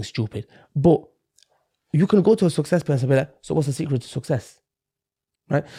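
A dark, mellow, somewhat breathy voice with very wide pitch swings, in a dry, close sound with no echo. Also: man. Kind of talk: casual interview chat. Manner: conviction, reflective.

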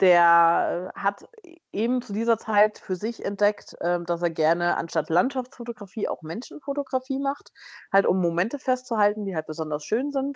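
A woman's ordinary speaking voice at medium pitch, with lively intonation, a moderate pace, and a dry, close sound with no echo over a quiet background. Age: 20s. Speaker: biochemist and cosplayer. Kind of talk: casual interview chat.

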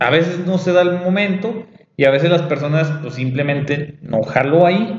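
A man speaks high for a man in a Mexican accent. Room echo is audible. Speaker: podcast host. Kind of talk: casual chat. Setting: café.

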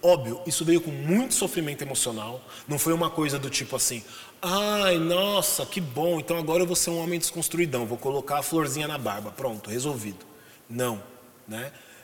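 Noticeable background noise sits behind a man with a fairly high pitch. His intonation is lively and his pace moderate. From Brazil, São Paulo (Zona Norte). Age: 40s. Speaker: podcast guest discussing masculinity. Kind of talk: casual interview conversation.

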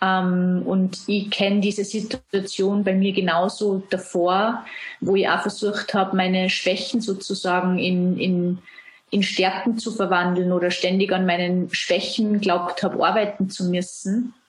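A woman with an Austrian accent speaks at a medium pitch and a fairly slow pace. Her intonation is flat and monotone, and her loudness stays very even. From Austria, Salzburg. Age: 30s. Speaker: self-employed brand consultant. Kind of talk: interview.

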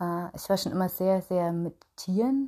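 A woman speaks slowly-ish with a fairly low pitch, a dark, mellow tone and a somewhat breathy quality, captured on a very clean recording with a silent background. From Upper Franconia, Bayreuth. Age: 30s. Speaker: podcast host and small business owner. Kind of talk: solo personal monologue. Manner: chatty with many filler sounds.

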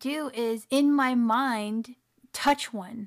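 On a very clean recording with a silent background, a woman speaks at a fairly high pitch in a plain, everyday voice. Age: 30s. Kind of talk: casual interview chat.

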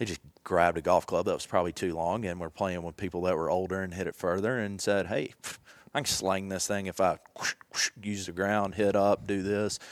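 A man's very deep, low voice in a Southern US accent, fairly quick and fairly even in intonation, on a very clean recording with a silent background. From Tennessee, Jackson. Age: 30s. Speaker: golf technology representative. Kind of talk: casual chat.

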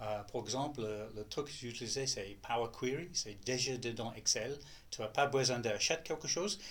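Somewhat breathy, a man with a strong non-native accent talks at a moderate pace and medium pitch, with ordinary pitch variation. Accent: strong foreign accent in French. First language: English (speaking French). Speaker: data specialist. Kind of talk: interview. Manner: halting.

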